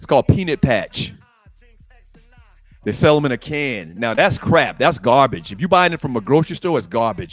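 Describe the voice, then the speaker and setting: A man with a Geechee accent speaks at a moderate pace, his pitch swinging very widely and his loudness rising and falling sharply, with long, frequent pauses and music in the background. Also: fairly high pitch for a man. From Gullah Geechee, coastal Southern US. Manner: emphatic, dismissive.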